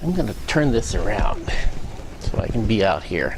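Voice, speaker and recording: There is audible room echo and noticeable background noise around this man's voice. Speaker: technical speaker at user group. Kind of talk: lecture. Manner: loud; halting, many fillers and repeats.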